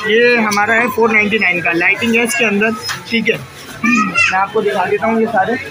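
Moderate pace over loud music in the background. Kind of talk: product presentation. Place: shop. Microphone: phone near.

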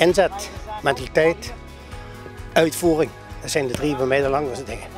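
A man's fairly high voice with ordinary pitch variation at a fairly quick pace, music playing in the background. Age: 80s+. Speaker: football youth coach. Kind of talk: interview answer.

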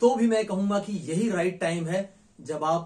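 With ordinary pitch variation, a man speaks at a very slow pace in a high pitch. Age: 50s. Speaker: nutrition expert. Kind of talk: health education monologue. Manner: smiling while speaking.

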